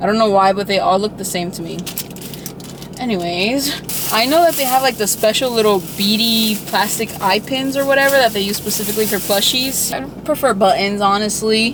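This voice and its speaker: Noticeable background noise beneath a woman's lively intonation, fairly high pitch and moderate pace. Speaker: artist and vlogger. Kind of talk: casual vlog. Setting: in a craft store.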